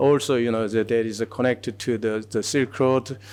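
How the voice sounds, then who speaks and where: A man speaks at a medium pitch with a Korean accent. His intonation is monotone and flat. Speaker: museum curator. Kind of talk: conference presentation. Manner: halting, many fillers.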